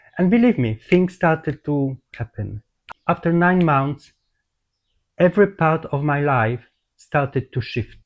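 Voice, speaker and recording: A man with a Polish accent, at a fairly high pitch and fairly slow pace, with lively intonation and a dry, close sound with no echo. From Poland. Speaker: holistic therapist. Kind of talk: personal testimony. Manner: halting.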